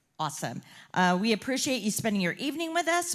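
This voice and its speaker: A woman speaks loudly. The recording is very clean, with a silent background. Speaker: chamber of commerce leader hosting candidate forum. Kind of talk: closing remarks at public forum.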